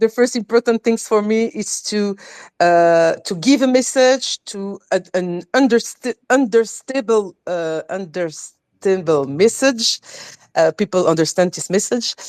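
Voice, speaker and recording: A woman with a French accent speaks fairly slowly at a medium pitch, her intonation lively. The sound is dry and close with no echo, and the recording is very clean over a silent background. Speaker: crypto community educator. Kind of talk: live stream panel discussion. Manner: halting, many repetitions.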